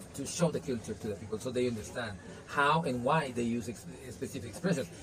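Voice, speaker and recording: The speech comes at a very fast pace in a Spanish accent. There is noticeable background noise. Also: man. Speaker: language teacher. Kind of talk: interview. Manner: halting.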